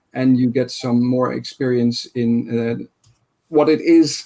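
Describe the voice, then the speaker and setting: Speaking in a Dutch accent, a man keeps a medium pitch and fairly even intonation. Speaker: conference session moderator. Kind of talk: online conference moderation. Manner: halting, many fillers.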